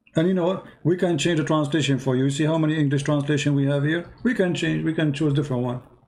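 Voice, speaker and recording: A man with an Arabic accent speaks at a very fast pace and very even loudness. His pitch is fairly high. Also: hardly any pauses. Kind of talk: heated debate. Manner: animated.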